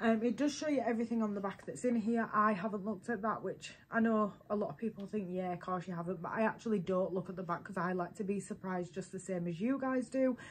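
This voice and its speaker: Speaking very fast with a British accent, a woman has a somewhat breathy, medium-pitched voice with ordinary pitch variation. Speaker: beauty vlogger. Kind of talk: product unboxing review. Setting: at home, baby sleeping nearby. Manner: quieter than normal; casual, many fillers.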